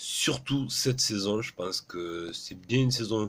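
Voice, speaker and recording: A man at a medium pitch and a very slow pace. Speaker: motorsport commentator youtuber. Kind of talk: casual commentary vlog.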